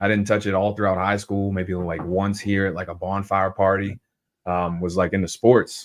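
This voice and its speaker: Against a quiet background, a man with a Southern US accent speaks at a moderate pace. His pitch is fairly low and his intonation monotone and flat. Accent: Southern accent, noticeable. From US South, New Orleans area, Louisiana. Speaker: cannabis grower, podcast guest. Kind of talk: casual chat.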